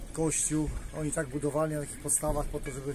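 A man talks very fast in a monotone, flat way. Noticeable background noise runs behind him. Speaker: tour guide. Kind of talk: guided tour commentary. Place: boat. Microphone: camera far.

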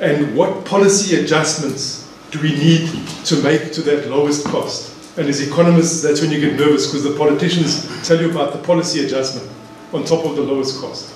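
A man talks at a fairly quick pace with monotone, flat intonation. Light background noise and audible room echo surround him. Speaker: economics lecturer. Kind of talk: lecture. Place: hall.

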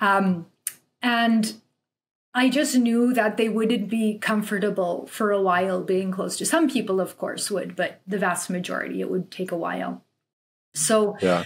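Somewhat breathy, a woman with a Canadian accent talks at a fairly slow pace with ordinary pitch variation. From Canada, of Polish farming family. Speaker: lawyer. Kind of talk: casual interview. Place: home room. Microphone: webcam.

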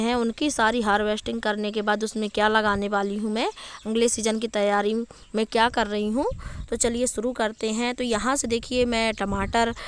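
The recording is dry with no echo, and the speaker talks at a fairly slow pace in a monotone, flat intonation. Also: woman. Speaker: home gardener vlogger. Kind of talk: tutorial. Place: garden. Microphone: phone near.

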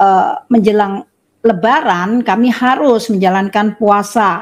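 A woman speaks against a quiet background. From Surabaya, East Java, Indonesia. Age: 60s. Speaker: religious convert. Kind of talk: testimony. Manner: halting, many fillers. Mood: warm, smiling. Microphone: video call.

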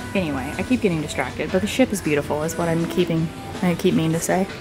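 A woman is speaking. Clear music plays behind her. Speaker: travel vlogger. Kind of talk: casual vlog chat. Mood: cheerful, delighted. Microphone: phone near.

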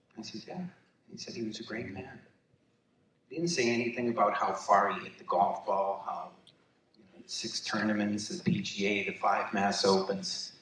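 Audible room echo and light background noise accompany a man who leaves long, frequent pauses. His loudness swings a lot, and his pitch swings very widely. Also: moderate pace. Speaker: son accepting honor for late father. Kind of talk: acceptance speech. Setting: gala stage with audience. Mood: warm, emotional. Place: hall.

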